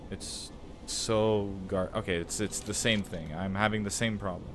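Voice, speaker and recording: With audible room echo, a man talks at a fairly slow pace in a fairly low voice with fairly even intonation. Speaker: gaming streamer. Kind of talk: live gameplay commentary. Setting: live stream.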